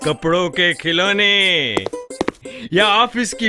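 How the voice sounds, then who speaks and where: A man speaks in a raised, projected voice with music playing in the background. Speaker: voice actor. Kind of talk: ad film narration.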